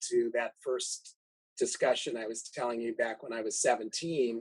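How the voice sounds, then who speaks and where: A man is speaking. His pace is moderate. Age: 60s. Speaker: organ transplant recipient and donation advocate. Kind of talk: podcast interview.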